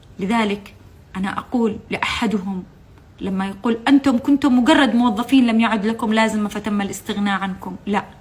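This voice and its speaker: A woman speaks at a moderate pace with a fairly high pitch and fairly even intonation over noticeable background noise. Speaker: former TV channel employee. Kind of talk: testimony. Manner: impassioned; halting.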